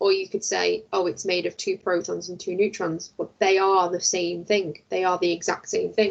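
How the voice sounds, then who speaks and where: This woman's delivery has a moderate pace. She speaks in a British accent. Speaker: science teacher. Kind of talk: lecture.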